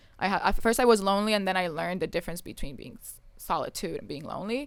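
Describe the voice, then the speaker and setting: On a very clean recording with a silent background, a woman talks at a very fast pace in a medium pitch with vocal fry. Her intonation is lively and her loudness swings a lot. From Argentina. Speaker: musician. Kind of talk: interview.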